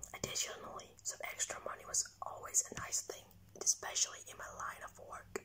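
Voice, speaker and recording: Amid noticeable background noise, a man is whispering. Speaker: ASMR content creator. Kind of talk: ASMR horror story reading. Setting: recorded on a phone without a microphone.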